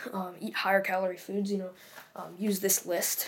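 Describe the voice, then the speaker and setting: A woman speaks quietly at a medium pitch, fairly quickly, in a monotone, flat intonation. Background noise is noticeable. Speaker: fitness youtuber. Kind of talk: casual vlog tutorial. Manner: halting, many fillers.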